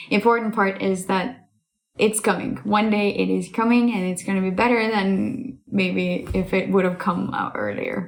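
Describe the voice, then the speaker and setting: The speaker has an Estonian accent and keeps a moderate pace. The intonation stays fairly even. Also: woman, medium pitch for a woman. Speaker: voice actress and singer. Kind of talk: casual talk about herself.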